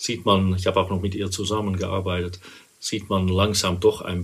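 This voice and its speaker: With a Dutch accent, a man speaks at a moderate pace in a fairly low, somewhat breathy voice with monotone, flat intonation. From Netherlands, Rotterdam. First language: Dutch (speaking German). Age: 50s. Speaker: interview guest sharing personal experience. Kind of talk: personal interview. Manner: hesitant, many fillers.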